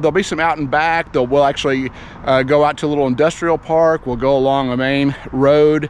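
Over light background noise, a man speaks at a fairly quick pace in a monotone, flat intonation, with a dry sound and no echo. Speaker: cycling vlogger. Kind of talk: casual vlog chat. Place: open country. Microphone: phone near.

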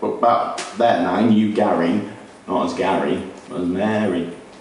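With a fairly low pitch, a man speaks in an animated, sing-song way at a fairly slow pace, with audible room echo. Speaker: beat poet performing. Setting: live on stage at a social club with an audience. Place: stage. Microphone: camera far.

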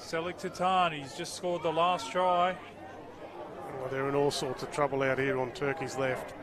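Crowd noise fills the background as a man speaks at a moderate pace. His pitch is fairly high, with ordinary variation. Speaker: rugby league commentator. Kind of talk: live sports commentary on a match, play-by-play. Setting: rugby league match broadcast.

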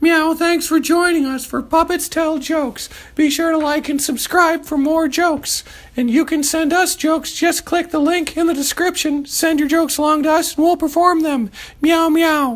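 A cartoonish character voice, high-pitched, at a moderate pace. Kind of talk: kids' puppet show comedy. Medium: puppet show. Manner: cheerful, mischievous, peppered with meows.

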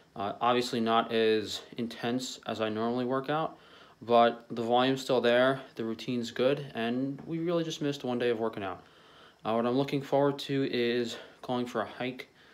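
Soft-spoken, a man talks at a moderate pace with fairly even intonation. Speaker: vlogger. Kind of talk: casual vlog chat. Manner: restricted jaw, slurred soft speech. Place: home room. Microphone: phone near.

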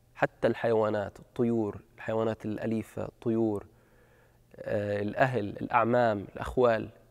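At a moderate pace, a man talks against a quiet background. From Gaza, Palestine (Beit Hanoun); Gaza, Palestine. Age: 30s. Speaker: documentary subject. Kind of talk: personal testimony. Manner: halting. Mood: reflective, serious. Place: stage. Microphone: lapel.

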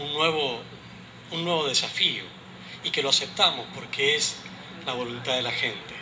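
A man with fairly even intonation speaks at a fairly slow pace while noticeable background noise plays behind him. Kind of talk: public speech. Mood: earnest, political. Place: street. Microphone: podium.

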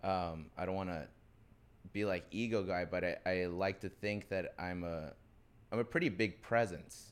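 This man's very deep, low pitch pairs with a moderate pace and fairly even intonation. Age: 20s. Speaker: actor and DJ; actor, DJ. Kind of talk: casual chat. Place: studio. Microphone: studio mic.

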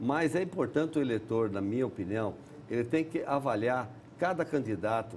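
This man's pitch swings very widely as he speaks. Light background noise can be heard. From Paraná, Brazil. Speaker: politician; politician interviewee. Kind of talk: TV interview. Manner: halting. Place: studio. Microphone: lapel.

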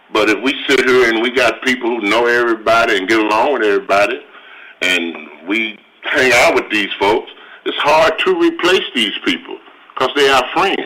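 The speaker has a Southern US accent and keeps a moderate pace. Loudness stays very even against noticeable background noise. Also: man. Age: 60s. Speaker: city council member. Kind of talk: council meeting debate.

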